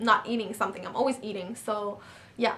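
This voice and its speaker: This woman has a fairly high voice and a French accent. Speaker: actress and model. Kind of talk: casual Q&A vlog. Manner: hesitant, many fillers.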